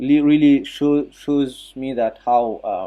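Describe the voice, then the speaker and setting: This man speaks with a French accent in a medium pitch, his dark, mellow tone held to fairly even intonation. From Mauritius. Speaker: physiotherapist and jiu-jitsu practitioner. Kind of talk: talk on an online audio chat. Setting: online audio chat room. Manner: halting, many fillers.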